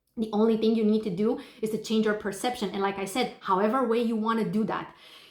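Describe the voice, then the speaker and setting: Speaking at a fairly quick pace, a woman with a fairly high pitch is heard with audible room echo. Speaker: manifestation coach. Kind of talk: casual advice monologue. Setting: hotel room while traveling.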